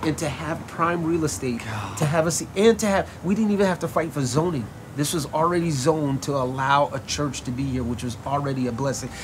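A man's fairly high voice in an American accent, at a fairly quick pace with lively intonation, with audible room echo and noticeable background noise. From New York, the Bronx. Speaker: pastor. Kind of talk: casual interview chat.

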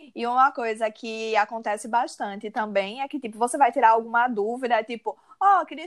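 In a very clean recording with a silent background, a woman talks in an unremarkable speaking voice at a fairly high pitch and fairly quick pace, with ordinary pitch variation. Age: 30s. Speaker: advertising professional and university lecturer. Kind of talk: interview.

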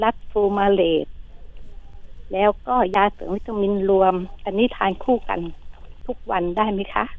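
The voice is a normal speaking voice, with fairly even intonation. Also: woman, medium pitch for a woman. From Phetchaburi, Thailand. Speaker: caller. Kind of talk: phone-in question. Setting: phone call.

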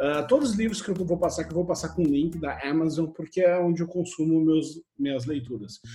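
With a southern Brazilian accent, a man of fairly high pitch speaks in a dark, mellow tone at a fairly quick pace, with ordinary pitch variation and hardly any pauses. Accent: gaúcho Brazilian Portuguese. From Brazil, Rio Grande do Sul (Santa Cruz do Sul). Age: 40s. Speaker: software engineer. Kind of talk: casual chat.

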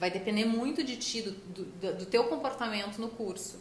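A woman's voice at a moderate pace with ordinary pitch variation, plus audible room echo and noticeable background noise. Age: 40s. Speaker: dentist and clinic owner. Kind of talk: casual chat.

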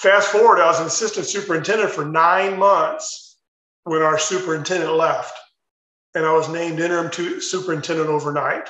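With audible room echo, a man talks at a fairly quick pace in a high pitch, his tone bright and sharp and his intonation fairly even. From US Midwest, Chicago suburbs. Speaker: retired school superintendent. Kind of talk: interview.

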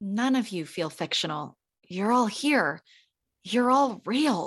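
Using a put-on character voice that is warm in tone and raspy, a woman speaks at a fairly slow pace and medium pitch with very wide pitch swings against a quiet background. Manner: warm, earnest, alarmed.

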